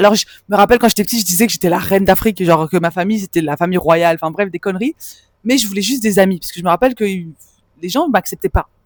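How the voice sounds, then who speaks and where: Speaking at a very fast pace, a woman keeps a medium pitch with ordinary pitch variation in a dry, close sound with no echo. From Belgium (Hainaut, village near Brussels). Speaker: spiritual mentor for women. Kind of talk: personal testimony vlog. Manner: casual, conversational with fillers.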